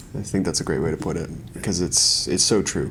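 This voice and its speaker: A man talks at a fairly quick pace. He speaks with a Canadian accent. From Canada, countryside. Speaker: podcast host. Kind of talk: casual interview.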